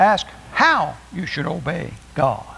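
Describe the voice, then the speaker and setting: Here a man speaks with a fairly high pitch. His voice has vocal fry. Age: 70s. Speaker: preacher. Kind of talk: sermon. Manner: halting.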